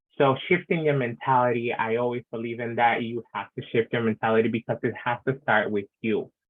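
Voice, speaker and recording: An unremarkable speaking voice comes from a man of medium pitch. He talks at a fairly quick pace with fairly even intonation and hardly any pauses. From Latin American heritage. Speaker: panelist. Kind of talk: online panel discussion.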